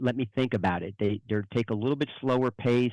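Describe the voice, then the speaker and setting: A man with a New Jersey accent talks fairly quickly at medium pitch, with a dry, close sound, no echo and a quiet background. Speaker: financial advisor. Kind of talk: interview.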